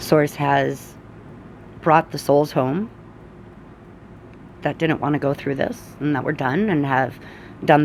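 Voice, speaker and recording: A woman speaks at a fairly slow pace with a very deep, low pitch. Vocal fry is present, along with ordinary pitch variation. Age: 40s. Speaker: energy and oracle reader. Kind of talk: casual spiritual talk to camera.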